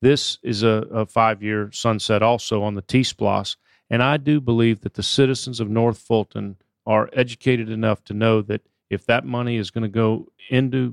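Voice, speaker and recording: The sound is dry and close with no echo as a man of medium pitch talks in monotone, flat intonation. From New Orleans. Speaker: chamber of commerce executive and state senator. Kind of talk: radio interview. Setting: radio studio.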